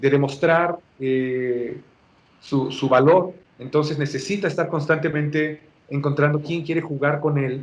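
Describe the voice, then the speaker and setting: With fairly even intonation, a man speaks in a fairly high voice, leaving long, frequent pauses. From Mexico. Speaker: voice actor, dubbing director. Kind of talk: interview answer.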